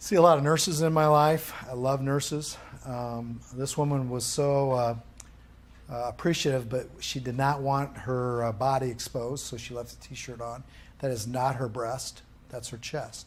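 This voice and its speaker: Over audible room echo, a man speaks with fairly even intonation and big swings in loudness. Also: medium pitch for a man. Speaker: rehabilitation course instructor. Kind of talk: lecture. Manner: fast.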